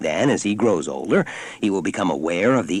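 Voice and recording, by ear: The intonation is lively as someone does reading aloud in a natural voice.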